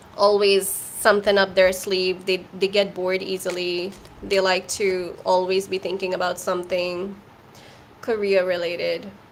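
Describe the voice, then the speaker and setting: Amid noticeable background noise, a woman talks at a moderate pace in a medium-pitched, flat monotone. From India. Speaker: tarot reader. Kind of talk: live tarot reading answering chat questions. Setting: livestream.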